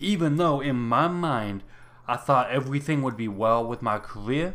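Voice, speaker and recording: Fairly quick speech comes from a man at a medium pitch. He has an unremarkable speaking voice, and his pitch varies in an ordinary way. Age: 30s. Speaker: podcast host and aspiring minister. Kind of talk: casual solo talk and Bible study.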